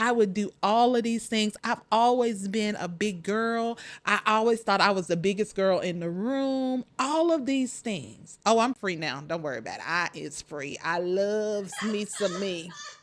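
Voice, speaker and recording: Speaking at a fairly slow pace with hardly any pauses, a woman of medium pitch uses an animated tone and lively intonation in a very clean recording with a silent background. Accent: Southern US. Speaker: podcast host, life coach. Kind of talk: motivational podcast talk.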